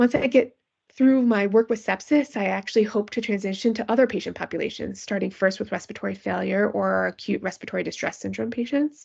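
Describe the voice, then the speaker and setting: The speech races at a very fast pace with hardly any pauses. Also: woman. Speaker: physician researcher in pediatric critical care. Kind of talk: lecture.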